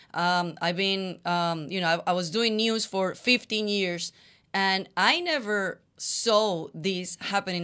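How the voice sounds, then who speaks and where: At a fairly slow pace, a woman with a Spanish accent speaks in a bright, sharp tone at a medium pitch with ordinary pitch variation, on a very clean recording with a silent background. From Colombia. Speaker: co-host, former news journalist. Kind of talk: announcement; casual chat.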